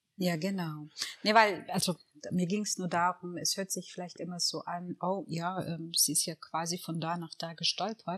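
A woman talks at a moderate pace in a normal speaking voice, fairly low in pitch with fairly even intonation. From Eritrea, raised in Reutlingen (Swabia), Germany. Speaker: lawyer and charity founder. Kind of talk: interview conversation.

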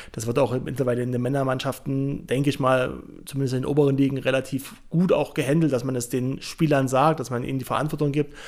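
Speaking at a very fast pace with hardly any pauses, a man keeps a medium pitch in a monotone, flat intonation. The recording is very clean with a silent background. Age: 20s. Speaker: former American football player and pundit. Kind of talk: podcast interview.

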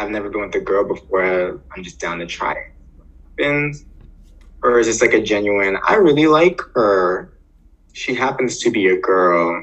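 Using lively intonation and big swings in loudness, a man with a fairly low pitch talks at a moderate pace, leaving long, frequent pauses. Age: 30s. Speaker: podcast co-host. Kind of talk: casual chat.

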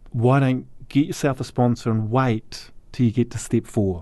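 A man with a New Zealand accent speaks at a moderate pace and medium pitch, with ordinary pitch variation. His tone is dark and mellow, and the background is quiet. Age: 40s. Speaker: recovering alcoholic. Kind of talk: testimony.

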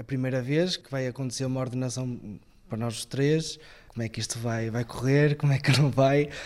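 Intonation stays fairly even in an unremarkable speaking voice. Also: man. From northern Portugal, Viana do Castelo. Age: 20s. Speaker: seminarian. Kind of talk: interview testimony.

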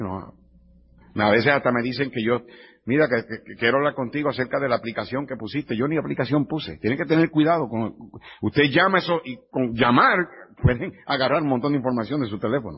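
Fairly quick and medium in pitch, a man talks in a plain, everyday voice with ordinary pitch variation. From Puerto Rico. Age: 50s. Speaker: pastor. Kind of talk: sermon. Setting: church.

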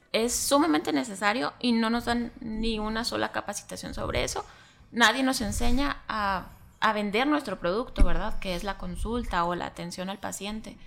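A woman with a fairly high pitch talks at a moderate pace, her intonation lively and her voice showing vocal fry. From Mexico, Chihuahua. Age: 30s. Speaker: physician and entrepreneur. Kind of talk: casual interview.

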